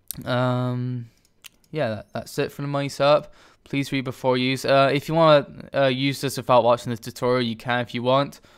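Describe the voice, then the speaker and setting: Speaking at medium pitch, a man keeps a monotone, flat intonation. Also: moderate pace. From Scotland. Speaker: game tutorial creator. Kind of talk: tutorial. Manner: halting, stammering.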